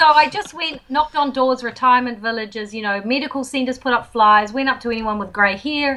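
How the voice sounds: A woman's fairly high-pitched voice in a bright, sharp tone, at a moderate pace with ordinary pitch variation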